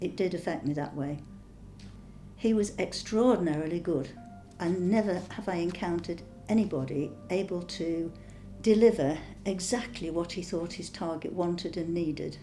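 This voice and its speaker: Music plays in the background as a woman with a fairly low pitch and ordinary pitch variation talks at a moderate pace, leaving long, frequent pauses. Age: 70s. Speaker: scam call target. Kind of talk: interview answer.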